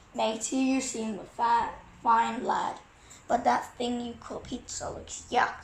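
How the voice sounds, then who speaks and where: A woman puts on a character voice, fairly high in pitch and fairly slow, with audible echo around it. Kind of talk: pirate talk. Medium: read story.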